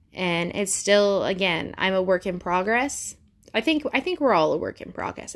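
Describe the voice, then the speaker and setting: Speech with a Midwestern US accent comes at a moderate pace with ordinary pitch variation. The recording is very clean, with a silent background. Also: woman. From Ohio. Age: 20s. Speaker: podcast host. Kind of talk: personal monologue. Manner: rambling with fillers.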